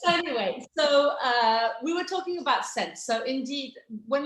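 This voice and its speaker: She speaks with an English accent and a lively, bouncing intonation. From England, English countryside. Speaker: fragrance brand founder. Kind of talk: product presentation on video call. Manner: animated.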